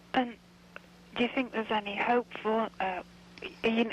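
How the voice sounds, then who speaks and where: A woman with a Manchester accent at a moderate pace, noticeable background noise behind her. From northern England, Manchester. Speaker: caller. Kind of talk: radio call-in question.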